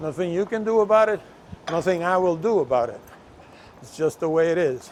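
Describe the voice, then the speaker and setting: A man with a Puerto Rican accent and high pitch speaks at a moderate pace with ordinary pitch variation over noticeable background noise. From Puerto Rico. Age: 70s. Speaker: travel vlogger. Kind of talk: casual walking vlog. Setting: outdoors.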